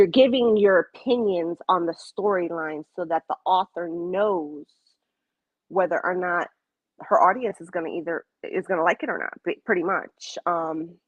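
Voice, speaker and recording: A woman's medium-pitched voice at a moderate pace, with ordinary pitch variation and big swings in loudness. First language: Spanish. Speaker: romance author. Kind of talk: casual interview. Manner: halting, many fillers.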